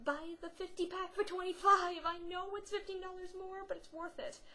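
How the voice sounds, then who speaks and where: A woman speaks in a raised, projected voice. Her pitch is extremely high. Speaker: craft tutorial vlogger. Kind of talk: tutorial. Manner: rambling, hesitant with fillers; casual, chatty.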